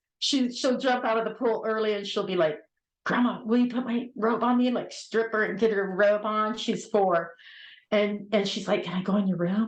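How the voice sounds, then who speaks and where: Audible room echo surrounds a woman's medium-pitched voice. Her pace is moderate and her pitch variation ordinary. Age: 60s. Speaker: spiritual reader, guest. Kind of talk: casual chat.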